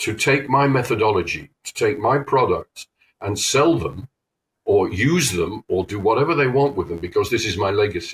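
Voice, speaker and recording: A man with vocal fry and lively intonation speaks at a moderate pace on a very clean, silent recording that sounds dry and close with no echo. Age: 70s. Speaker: trade show marketing consultant. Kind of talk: podcast interview.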